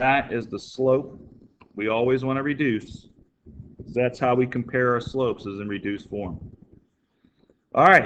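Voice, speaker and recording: A plain, everyday voice from a man at medium pitch and a moderate pace. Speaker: math teacher. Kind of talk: tutorial. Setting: recorded video lesson.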